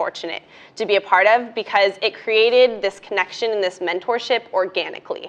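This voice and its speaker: In a plain, everyday voice, a woman speaks at a medium pitch. Her pace is fairly quick and her intonation fairly even. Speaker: undergraduate student panelist. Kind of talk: panel discussion.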